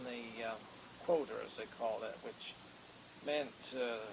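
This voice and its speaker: A man at a fairly slow pace, ordinary pitch variation, and noticeable background noise behind him. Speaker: retiree. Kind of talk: interview answer, family recollection. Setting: home VHS recording, poor quality.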